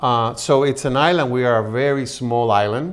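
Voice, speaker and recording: Speaking at a fairly slow pace, a man with a Spanish accent keeps to a medium pitch. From Puerto Rico. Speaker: television personality and singer. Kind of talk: interview.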